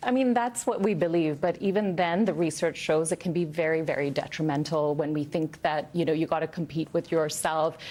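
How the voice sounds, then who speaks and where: A woman's fairly low, dark and mellow voice at a fairly quick pace, with hardly any pauses and very even loudness. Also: ordinary pitch variation. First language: not English. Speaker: author. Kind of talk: TV news interview. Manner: conversational, frequent fillers.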